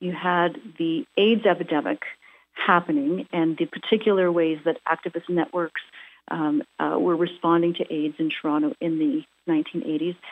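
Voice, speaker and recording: At a moderate pace, this woman talks in a plain, everyday voice that sits fairly low in pitch. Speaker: academic. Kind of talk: interview. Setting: phone call.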